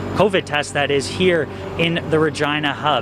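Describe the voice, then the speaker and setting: A man talks against noticeable background noise. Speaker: sports reporter. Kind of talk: live TV field report.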